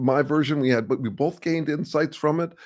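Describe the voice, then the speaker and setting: With a plain, everyday voice, a man talks at a fairly high pitch and moderate pace on a very clean recording with a silent background. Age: 60s. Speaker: strategic consultant and live-stream host. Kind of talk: casual live-stream talk. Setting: live stream with chat. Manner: many fillers and restarts.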